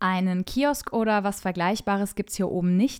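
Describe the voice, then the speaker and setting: Enthusiastic in tone, a woman speaks at a medium pitch and a moderate pace with ordinary pitch variation on a very clean recording with a silent background. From Franconia, Germany. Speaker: travel journalist and podcast host. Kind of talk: scripted travel podcast narration.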